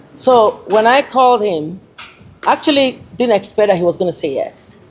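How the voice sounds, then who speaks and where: A woman at a moderate pace, with very wide pitch swings. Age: 60s. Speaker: modelling agency founder. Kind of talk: speech to an audience.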